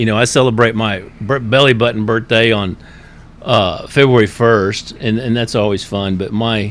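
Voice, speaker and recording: A man with an American accent talks at a medium pitch. He has an ordinary speaking voice and keeps a moderate pace. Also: fairly even intonation. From Florida. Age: 60s. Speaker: recovery guide, former pastor. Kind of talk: personal testimony in interview.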